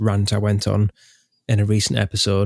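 The recording is very clean, with a silent background and a dry, close sound with no echo. The speaker has an English accent. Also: man. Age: 30s. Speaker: podcast host, historical re-enactor. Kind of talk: casual chat.

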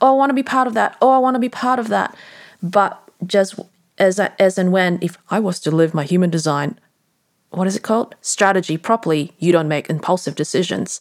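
On a very clean recording with a silent background, a woman speaks at a fairly quick pace and medium pitch with lively intonation. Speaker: podcast host and transformation coach. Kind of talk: solo reflective monologue. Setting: bedroom late at night. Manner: rambling, meandering.

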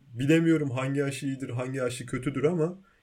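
A man's voice sits fairly high. His pitch moves with ordinary variation. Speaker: podcast co-host. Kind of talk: casual chat. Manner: animated, frequent laughter.

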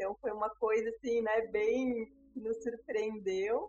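A woman with a fairly high pitch and a plain, everyday voice talks at a fairly slow pace. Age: 30s. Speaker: doula. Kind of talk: interview about her birth story.

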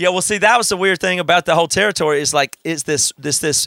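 Recorded dry and close with no echo, a man with a Southern US accent speaks in a bright, sharp tone. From South Carolina. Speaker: podcast host. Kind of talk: casual interview. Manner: smiling, upbeat.

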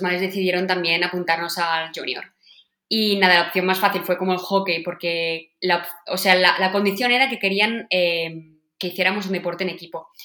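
Flat, monotone intonation from a woman at medium pitch, paced moderately. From Catalonia, Spain (Sant Joan, Vallès). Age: 20s. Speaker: field hockey player. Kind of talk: interview. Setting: remote call from home office.

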